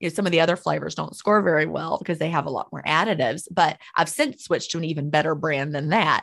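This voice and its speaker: A woman with a very deep, low pitch and vocal fry speaks very fast with hardly any pauses. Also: ordinary pitch variation. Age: 50s. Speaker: author. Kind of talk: interview.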